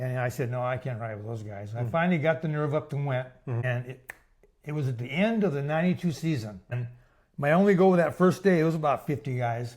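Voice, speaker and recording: A man is speaking in a somewhat breathy voice. His pitch is fairly high. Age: 70s. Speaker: long-distance cyclist. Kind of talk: interview answer.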